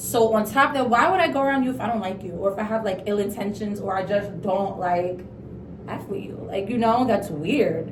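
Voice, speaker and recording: A woman's medium-pitched voice at a fairly quick pace, with ordinary pitch variation, audible room echo and noticeable background noise. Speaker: beauty vlogger. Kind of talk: casual storytime chat during skincare routine. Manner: fast talker.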